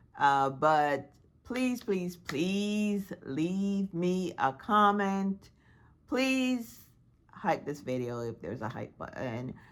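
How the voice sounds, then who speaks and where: Speaking very slowly, a woman with a fairly low voice lets her pitch swing very widely and her loudness rise and fall sharply. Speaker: YouTuber. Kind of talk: vlog monologue.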